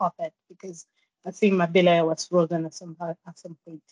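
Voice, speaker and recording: A woman speaks with a French accent. The sound is dry and close, with no echo. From Guadeloupe. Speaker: climber. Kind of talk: interview. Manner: halting.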